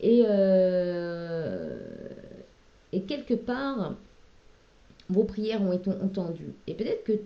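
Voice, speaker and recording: Speaking very slowly with long, frequent pauses, a woman uses a medium pitch and ordinary pitch variation. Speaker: tarot card reader. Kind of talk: tarot reading. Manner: hesitant; loud at moments.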